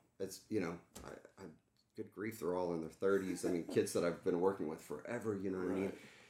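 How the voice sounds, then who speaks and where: With an American accent, a man talks at a very fast pace in a very deep, low pitch, his tone dark and mellow and his intonation fairly even. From Texas, Dallas area. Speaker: entertainment executive and coach. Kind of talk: casual interview.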